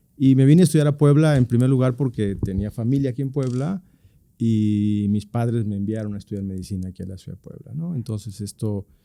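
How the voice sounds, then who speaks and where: A man speaks at a fairly quick pace in a dark, mellow tone. His medium pitch shows ordinary variation, and his loudness swings widely. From Chiapas, Mexico (Pichucalco, north). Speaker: surgeon. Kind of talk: interview. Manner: halting, frequent repetitions.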